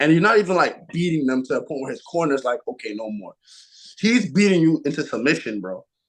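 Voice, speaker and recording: A man with an American accent, fairly high in pitch, animated in tone, with very wide pitch swings at a fairly quick pace against a quiet background. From New York (Queens, Brooklyn, Long Island). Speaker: professional boxer. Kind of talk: casual chat.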